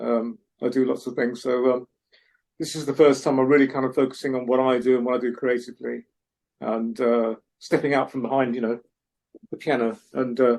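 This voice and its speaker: A man with a London accent speaks at a fairly quick pace in a medium pitch and a flat, monotone delivery, broken by long, frequent pauses. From North London, England. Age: middle-aged. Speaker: singer-songwriter. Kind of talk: casual interview chat.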